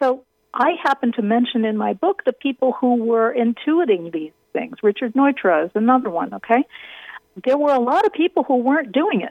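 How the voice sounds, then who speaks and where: A high-pitched woman talks at a fairly quick pace, her voice making very wide pitch swings. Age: 50s. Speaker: architecture critic and author. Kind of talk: interview. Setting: radio interview.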